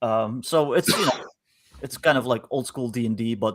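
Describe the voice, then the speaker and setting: A man at a fairly quick pace on a very clean recording with a silent background. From Netherlands. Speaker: game designer. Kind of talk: casual chat. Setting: live stream.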